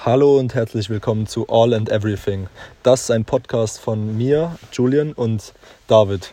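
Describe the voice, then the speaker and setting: At a fairly slow pace, a man talks in a medium pitch with a dark, mellow tone and ordinary pitch variation. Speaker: podcast co-host. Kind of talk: casual chat.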